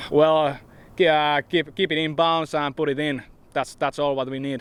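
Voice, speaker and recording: Speaking in a Finnish accent, a man with a fairly high pitch talks at a moderate pace in a monotone, flat intonation. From Finland. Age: 20s. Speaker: professional disc golfer. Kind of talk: press interview. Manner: halting.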